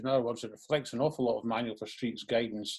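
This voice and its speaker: A man with a Scottish accent talks at a medium pitch. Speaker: transport planning official. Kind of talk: panel presentation. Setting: online event. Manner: unscripted, with many hesitations.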